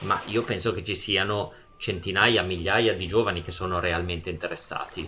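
Over noticeable background noise, a man speaks at a moderate pace with a very deep, low pitch and fairly even intonation. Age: 40s. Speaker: podcast host. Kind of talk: casual chat.

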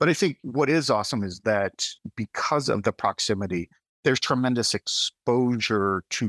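This man has an unremarkable speaking voice at medium pitch, an American accent, ordinary pitch variation and a moderate pace, recorded dry and close with no echo. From US South (southern Missouri). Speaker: tech company CEO. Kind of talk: interview.

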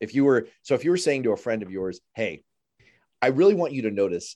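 In an American accent, a man speaks with a dark, mellow tone against a quiet background. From New York City (Manhattan). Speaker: radio host. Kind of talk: interview. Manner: halting, repeats words.

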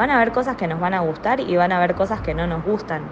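The speaker's pitch varies in an ordinary way, with noticeable background noise behind the voice. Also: woman. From Argentina. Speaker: art therapist. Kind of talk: recorded testimony.

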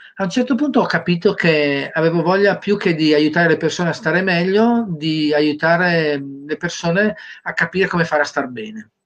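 A man's voice, high in pitch, moderate in pace, with ordinary variation in pitch. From Sardinia, Cagliari. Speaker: career trainer. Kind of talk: interview.

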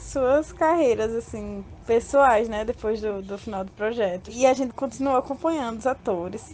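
Noticeable background noise fills the recording. Through it a woman talks at a moderate pace. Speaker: interviewed fan. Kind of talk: personal storytelling.

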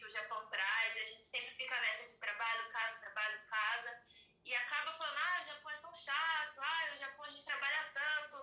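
In a room with audible echo, a woman uses a raised, projected voice that is high-pitched with a bright, sharp tone, speaking at a moderate pace with ordinary pitch variation. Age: 30s. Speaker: podcast guest. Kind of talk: casual chat.

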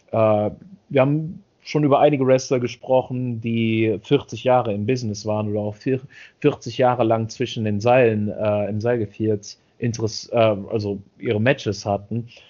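Using a plain, everyday voice, a man talks at a fairly slow pace and medium pitch with fairly even intonation. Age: 30s. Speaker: podcast co-host. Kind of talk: casual chat.

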